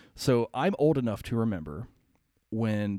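A man with an American accent has an unremarkable speaking voice, a fairly low pitch and ordinary pitch variation on a very clean recording with a silent background. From Ohio and Pennsylvania. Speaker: city services worker. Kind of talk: casual chat.

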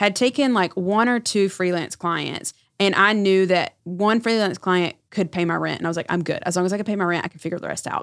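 With an American accent and an unremarkable speaking voice, a woman talks at a moderate pace and medium pitch with fairly even intonation, her sound dry and close with no echo. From North Carolina. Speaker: public relations consultant. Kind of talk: casual chat.

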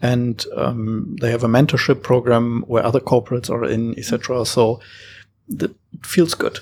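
Speaking with a German accent, a man keeps a moderate pace and ordinary pitch variation. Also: medium pitch for a man. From Germany, Hamburg. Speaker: startup founder. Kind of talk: panel discussion.

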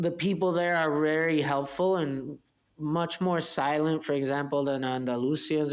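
A man speaks with a Spanish accent. His pitch is fairly high and his intonation fairly even. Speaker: winery manager. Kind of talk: interview.

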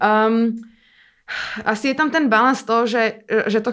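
The recording is very clean, with a silent background. A woman with a fairly high pitch talks at a moderate pace with ordinary pitch variation. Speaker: dancer and performer. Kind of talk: interview conversation.

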